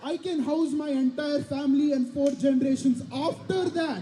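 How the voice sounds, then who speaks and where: With an Indian accent, a man speaks at an extremely high pitch with ordinary pitch variation over noticeable background noise. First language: Indian language. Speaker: student comedian. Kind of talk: stand-up. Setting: stage with audience.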